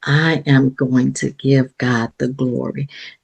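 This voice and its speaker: Recorded dry and close with no echo, a woman with an American accent speaks at a very slow pace. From San Antonio, Texas. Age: 60s. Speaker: ordained minister, author, playwright. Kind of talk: interview answer.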